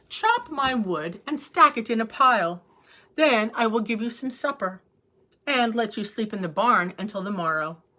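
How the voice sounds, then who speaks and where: In a put-on, gruff character voice, a woman speaks at a moderate pace with a fairly high pitch and lively intonation. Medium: read story.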